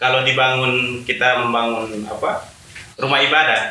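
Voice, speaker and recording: A man speaks at a moderate pace and a medium pitch, with audible room echo and noticeable background noise. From Alor, East Nusa Tenggara, Indonesia. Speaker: youth community member. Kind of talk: casual chat. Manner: halting, many fillers.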